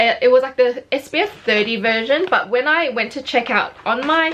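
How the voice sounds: A woman's fairly bright, fairly high-pitched voice in an Australian accent, at a moderate pace with ordinary pitch variation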